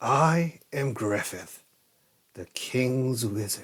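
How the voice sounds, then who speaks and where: Using a put-on character voice at medium pitch, a man speaks at a very slow pace. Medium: read story.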